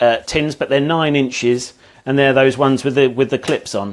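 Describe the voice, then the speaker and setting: A man's medium-pitched voice with an English accent and fairly even intonation. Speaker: home cook. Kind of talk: cooking livestream. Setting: home kitchen. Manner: loud; halting.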